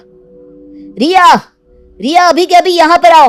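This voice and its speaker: With faint music behind her, a woman shouts in a put-on character voice. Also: fairly slow pace. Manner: shouting angrily.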